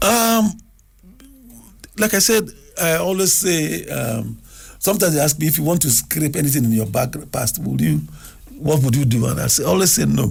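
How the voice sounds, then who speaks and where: The man's voice sits at a fairly high pitch. His pace is moderate. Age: 70s. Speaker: television producer. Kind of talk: radio interview.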